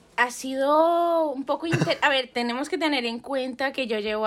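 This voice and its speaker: Fairly slow female speech, high in pitch, with ordinary pitch variation. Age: 20s. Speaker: photographer. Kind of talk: casual chat.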